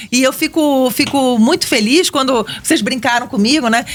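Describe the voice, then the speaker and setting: Noticeable background noise sits behind a woman speaking at a moderate pace. She has a Rio de Janeiro accent and lively intonation. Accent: Rio de Janeiro (carioca). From Brazil, Rio de Janeiro. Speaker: economics professor. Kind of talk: radio interview.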